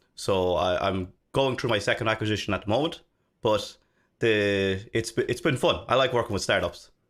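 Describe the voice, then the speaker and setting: On a very clean recording with a silent background, a man with an Irish accent speaks at a moderate pace and medium pitch, with ordinary pitch variation and very even loudness. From Ireland, Dublin. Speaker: software developer and consultant. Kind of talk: casual interview chat.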